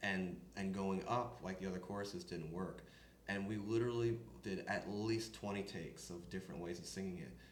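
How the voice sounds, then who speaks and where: A man's fairly low voice with an American accent, fairly quick pace, ordinary pitch variation and audible room echo. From upstate New York. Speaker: country singer. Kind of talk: interview.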